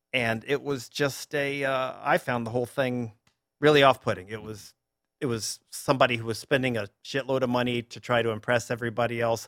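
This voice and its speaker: This man has an unremarkable speaking voice with an American accent and a medium pitch. He talks at a fairly quick pace with fairly even intonation. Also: big swings in loudness. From US South, Durham, North Carolina. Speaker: newspaper columnist. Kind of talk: interview.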